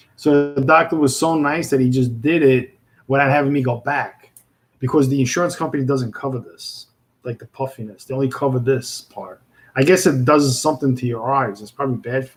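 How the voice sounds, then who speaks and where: A man with a Brooklyn accent at medium pitch and a fairly quick pace, with fairly even intonation and big swings in loudness. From Brooklyn, New York. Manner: casual, conversational, many filler words.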